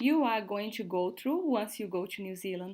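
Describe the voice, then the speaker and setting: Speaking with a Brazilian accent, a woman uses a medium pitch. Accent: non-native, Brazilian-sounding English. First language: Portuguese. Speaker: work and travel support co-host. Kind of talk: casual livestream chat. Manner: slow, halting.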